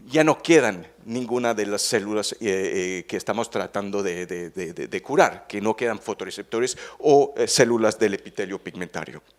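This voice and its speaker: On a very clean recording with a silent background, a man with a fairly low pitch talks at a moderate pace, hardly pausing, with ordinary pitch variation. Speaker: veterinary ophthalmologist, researcher. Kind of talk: conference talk. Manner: halting, many fillers and repetitions.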